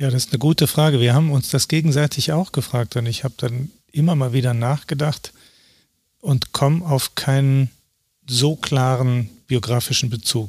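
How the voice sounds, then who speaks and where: A man speaks in a somewhat breathy voice with fairly even intonation and very even loudness. The recording is very clean, with a silent background. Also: medium pitch for a man, moderate pace. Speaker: documentary photographer. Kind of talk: interview.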